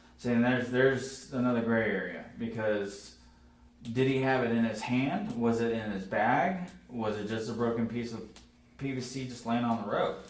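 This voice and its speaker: A man speaks at a moderate pace and a medium pitch, his intonation fairly even, with audible room echo and noticeable background noise. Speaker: firefighter. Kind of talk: police interview. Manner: loud.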